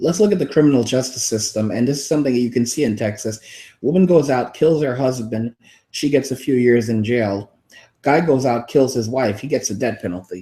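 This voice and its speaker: A man's somewhat breathy, dark, mellow voice with an American accent, medium pitch, ordinary pitch variation and a fairly quick pace. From New York City. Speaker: YouTube host. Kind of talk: casual debate. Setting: live stream.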